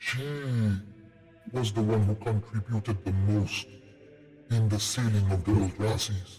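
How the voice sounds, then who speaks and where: Using a put-on character voice, a man speaks at a fairly low pitch and a moderate pace, leaving long, frequent pauses over faint music in the background. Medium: actual play. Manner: grave, measured.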